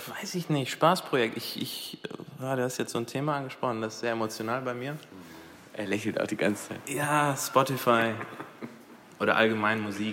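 With ordinary pitch variation and a medium pitch, a man speaks while noticeable background noise is heard. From Dubai, then Krefeld, Germany from age 15. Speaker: digital industry professional. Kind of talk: casual chat. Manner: hesitant, many fillers.

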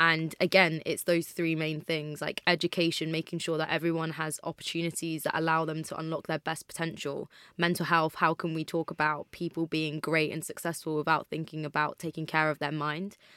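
In a very clean, dry, close recording with a silent background and no echo, a woman with a very deep, low pitch and a bright, sharp tone speaks at a fairly quick pace in a monotone, flat way with hardly any pauses. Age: 20s. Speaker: mental health campaigner and entrepreneur. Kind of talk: casual interview chat.

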